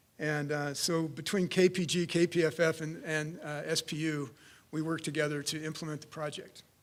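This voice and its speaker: On a very clean recording with a silent background, a man with a fairly high pitch speaks fairly quickly in a monotone, flat way, his loudness swinging widely. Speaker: civil engineer. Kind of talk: conference presentation. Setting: conference room with audience.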